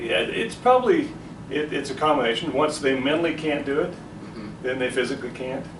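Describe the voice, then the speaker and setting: Over noticeable background noise, a man talks at a fairly quick pace in a fairly high pitch with lively intonation. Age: 60s. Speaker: business owner. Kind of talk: interview answer.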